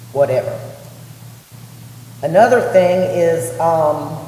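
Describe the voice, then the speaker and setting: The woman's medium pitch comes through audible room echo and noticeable background noise. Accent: Southern US. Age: 60s. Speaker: resident speaking at public meeting. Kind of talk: public comment at county meeting.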